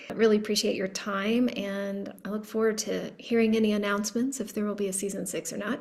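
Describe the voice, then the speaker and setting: A woman with a Texan accent, fairly high pitch and moderate pace, amid noticeable background noise. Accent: Texan American. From Texas. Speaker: podcast host. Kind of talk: casual interview chat.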